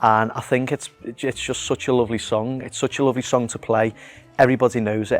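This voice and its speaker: A man talks fairly quickly at a medium pitch with a Liverpool accent. His intonation stays flat and monotone over music in the background. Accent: Liverpool (Scouse). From Liverpool, England. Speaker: actor and musician. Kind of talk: interview answer about his acting role. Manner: casual, conversational, friendly.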